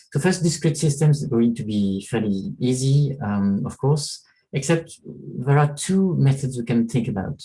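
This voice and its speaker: A man's voice sounds somewhat breathy with a dark, mellow tone. His intonation is lively. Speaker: professor. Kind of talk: lecture. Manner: fast.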